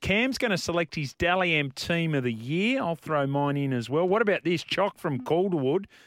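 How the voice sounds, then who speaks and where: A man with an Australian accent talks at a fairly quick pace and fairly high pitch, with ordinary pitch variation. The recording is very clean, over a silent background. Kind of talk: sports radio talk. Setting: radio studio.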